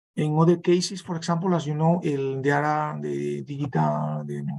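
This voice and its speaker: At a moderate pace, a man speaks with a Spanish accent. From Spain. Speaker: professor. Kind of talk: online conference Q&A. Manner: halting.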